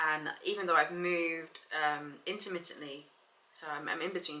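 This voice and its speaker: This is a woman speaking with a London accent. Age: 20s. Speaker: vlogger. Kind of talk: casual vlog. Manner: animated.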